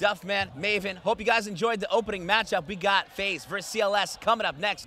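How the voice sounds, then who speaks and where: In a dry recording with no echo, a man speaks with a raised, projected voice, high in pitch, with an animated, bright, sharp tone. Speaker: esports commentator. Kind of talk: live esports commentary, rapid play-by-play calling each kill and rotation. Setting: tournament stage with crowd. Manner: fast, animated, excitable. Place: studio. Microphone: headset.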